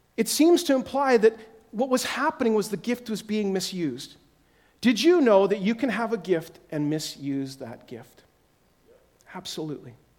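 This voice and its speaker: Pitched high, a man speaks at a moderate pace with very wide pitch swings, big swings in loudness, and long, frequent pauses. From Yukon, Canada. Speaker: guest preacher. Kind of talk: sermon. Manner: animated.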